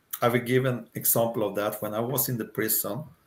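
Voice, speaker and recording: A man with a Swedish accent speaks at a medium pitch and a moderate pace, in a monotone, flat intonation. The recording is very clean, with a silent background. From Sweden. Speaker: retired career coach. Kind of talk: interview. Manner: hesitant.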